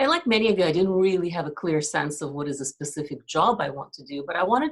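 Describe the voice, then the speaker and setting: Lively intonation marks this woman's somewhat breathy, fairly low voice. She talks at a fairly quick pace. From Ukraine. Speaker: retired investment manager. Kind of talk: career talk to students.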